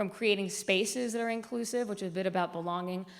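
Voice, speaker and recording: There is audible room echo on this recording. A woman speaks with fairly even intonation. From US South, raised outside Atlanta, Georgia. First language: Spanish. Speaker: media executive and diversity speaker. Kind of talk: conference presentation. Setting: stage with audience.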